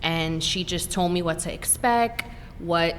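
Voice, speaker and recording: A woman's fairly low voice against noticeable background noise. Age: 40s. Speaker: breast cancer survivor. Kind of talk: podcast interview.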